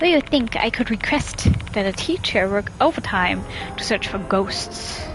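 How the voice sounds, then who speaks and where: Against noticeable background noise, a woman with a non-native accent and fairly high pitch speaks very slowly with lively intonation. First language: not English. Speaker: game streamer. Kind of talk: reading visual novel text aloud.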